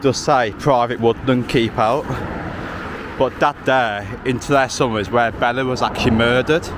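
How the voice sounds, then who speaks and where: A man speaks at a moderate pace with a medium pitch and fairly even intonation. Noticeable background noise runs underneath. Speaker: outdoor vlogger. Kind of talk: walking vlog narration. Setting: outdoors. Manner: loud.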